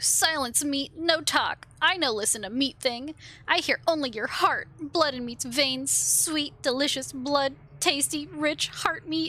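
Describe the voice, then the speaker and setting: Using a put-on character voice, a woman speaks at a high pitch with a hissing sound and a fairly slow pace. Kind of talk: broken, primitive speech. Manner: hissing, hungry, menacing.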